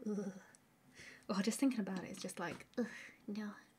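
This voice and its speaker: A woman speaks in a southern English accent. Her voice is somewhat breathy, with fairly even intonation. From southern England. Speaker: art streamer. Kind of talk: live stream chat while drawing. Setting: live stream.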